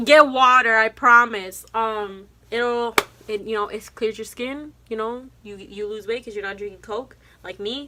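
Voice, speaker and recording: A woman's fairly high, bright and sharp voice, with fairly even intonation and big swings in loudness. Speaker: college student vlogger. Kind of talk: casual vlog talk to camera. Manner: fast.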